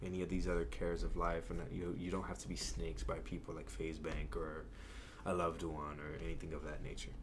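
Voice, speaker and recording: Audible room echo surrounds a man speaking at a fairly quick pace with lively intonation. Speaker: YouTube reaction commentator. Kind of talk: casual reaction commentary. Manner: animated; fast.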